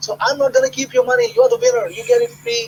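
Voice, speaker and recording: Noticeable background noise fills the recording. Over it a man talks at a very fast pace with a non-native accent. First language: not English. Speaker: internet marketer hosting product launch webinar. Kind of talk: live webinar sales pitch with Q&A. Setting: live online webinar call. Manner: animated, conversational with hesitations.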